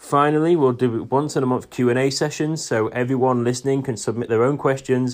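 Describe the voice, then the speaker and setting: A man with an East Yorkshire accent at a medium pitch and a fairly quick pace, over a quiet background. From northern England, near Hull. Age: 20s. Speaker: podcast host, salesperson. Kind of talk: solo podcast monologue.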